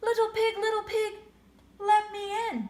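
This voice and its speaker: A woman puts on a squeaky character voice at an extremely high pitch. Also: moderate pace. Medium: read story.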